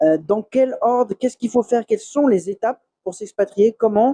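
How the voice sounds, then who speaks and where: The man's dark, mellow tone comes through with a dry, close sound and no echo. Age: 30s. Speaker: expat YouTuber and software developer. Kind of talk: channel introduction monologue. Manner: hesitant with many fillers; calm.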